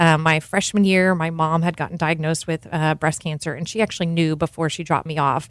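A woman with a normal speaking voice, fairly low in pitch, at a fairly quick pace with fairly even intonation, on a very clean recording with a silent background. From North Texas. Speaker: cheese shop owner. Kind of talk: casual interview. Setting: studio.

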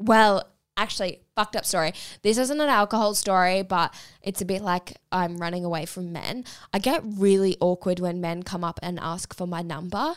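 On a very clean recording with a silent background, a woman with an Australian accent speaks at a moderate pace in a medium pitch with ordinary variation. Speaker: podcast co-host. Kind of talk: casual chat. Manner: quieter than co-host.

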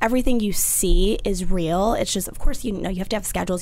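Noticeable background noise behind a woman's speech. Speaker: magazine brand coordinator. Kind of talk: casual chat. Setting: studio.

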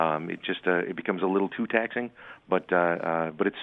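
An American accent marks this man's speech, which has ordinary pitch variation. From Wisconsin, Lake Country area. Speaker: builders association director. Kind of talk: radio interview. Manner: halting, many fillers.

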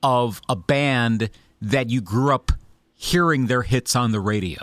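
The speaker goes at a fairly slow pace. The very clean recording has a silent background and a dry, close sound with no echo. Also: man. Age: 40s. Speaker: podcast host and interviewer. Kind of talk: interview. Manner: halting.

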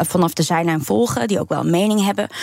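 A woman with a fairly low pitch is heard in a dry, close recording with no echo. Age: 30s. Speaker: documentary maker. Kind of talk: radio interview. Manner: hesitant.

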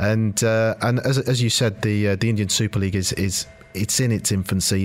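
A man in a British accent speaks with a fairly low pitch and fairly even intonation. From Britain. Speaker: football club executive. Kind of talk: radio interview. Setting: studio.

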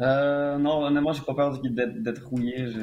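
A man talks in an unremarkable speaking voice. His pace is moderate and his intonation fairly even. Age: 20s. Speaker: mixed martial arts fighter. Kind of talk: interview.

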